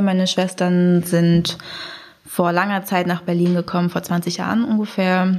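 Her fairly low-pitched voice stays monotone and flat as the woman speaks. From Germany (Braunschweig). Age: 20s. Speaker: student, blind date participant. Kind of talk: casual chat.

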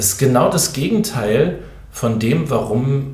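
A man talks at a very slow pace and medium pitch, with lively intonation. Audible room echo and noticeable background noise surround him. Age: 50s. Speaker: pastor. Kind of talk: podcast monologue. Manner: hesitant.

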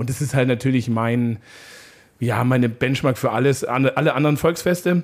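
A man with an unremarkable speaking voice, medium pitch, ordinary pitch variation and a moderate pace. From Upper Bavaria. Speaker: podcast host. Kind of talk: casual chat.

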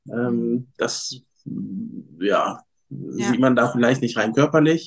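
Intonation fairly even, a man delivers his words at a very slow pace. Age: 30s. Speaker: fitness coach and former reality TV participant. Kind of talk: casual interview.

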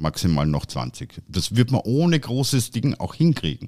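Speaking at a fairly slow pace, a man has a dark, mellow tone on a very clean recording with a silent background. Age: 50s. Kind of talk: casual chat. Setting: studio.

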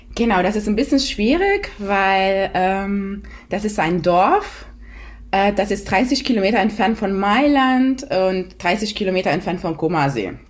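Delivered in an Italian accent, the speech has very even loudness and ordinary pitch variation. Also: woman, medium pitch for a woman. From Italy. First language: Italian (speaking German). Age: 30s. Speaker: mother of two. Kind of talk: podcast interview. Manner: hesitant, many fillers.

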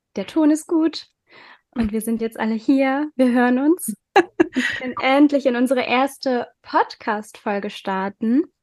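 Recorded dry and close with no echo against a quiet background, a high-pitched woman speaks at a fairly slow pace. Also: ordinary pitch variation. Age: 20s. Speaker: podcast co-host. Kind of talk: casual chat.

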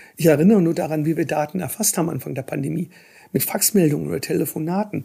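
In a very clean recording with a silent background, a man with a fairly high pitch and a dark, mellow tone talks at a fairly quick pace with ordinary pitch variation. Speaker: politician and infectious disease professor. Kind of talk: interview.

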